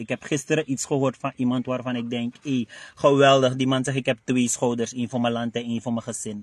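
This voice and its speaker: The background is quiet. A man speaks in a dry sound with no echo. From Suriname. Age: 40s. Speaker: party spokesman and director; party spokesman. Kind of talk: interview monologue. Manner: animated. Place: car.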